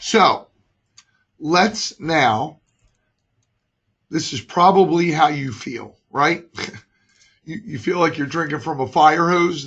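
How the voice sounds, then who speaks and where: A man puts on a raspy character voice pitched fairly high. He talks at a fairly slow pace. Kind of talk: conference presentation.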